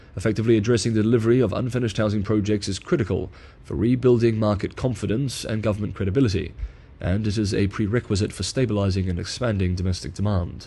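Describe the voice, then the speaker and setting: Speaking at a very fast pace, a man with a fairly low pitch sounds somewhat breathy and keeps his intonation fairly even. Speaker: news analyst and video creator. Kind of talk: scripted narration reading an essay aloud.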